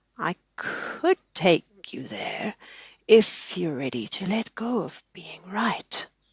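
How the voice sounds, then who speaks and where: A soft-spoken, put-on character voice at a middle pitch and a very slow pace. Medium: read story. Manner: gentle.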